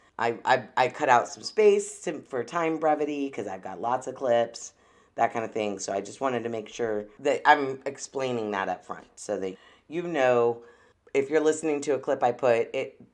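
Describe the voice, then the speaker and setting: A woman's very deep, low voice with lively intonation, moderate pace and big swings in loudness over a quiet background. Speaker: podcast host. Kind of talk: solo podcast commentary. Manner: stutters often; casual, filler-heavy.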